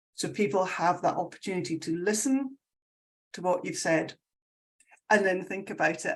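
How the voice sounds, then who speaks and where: A woman speaks with a Scottish accent. The background is quiet. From Scotland. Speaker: sustainability consultant. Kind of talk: casual chat. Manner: animated.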